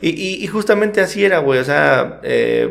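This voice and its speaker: There is audible room echo and noticeable background noise as a man with a Mexican accent speaks at a fairly slow pace. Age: 20s. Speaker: podcast co-host. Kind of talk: casual chat.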